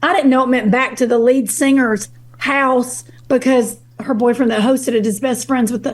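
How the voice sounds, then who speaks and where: Against noticeable background noise, a woman with a Kentucky accent talks at a moderate pace in a high pitch. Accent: Kentucky Southern. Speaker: guest on a relationship podcast. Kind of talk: casual interview chat, storytelling. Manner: animated.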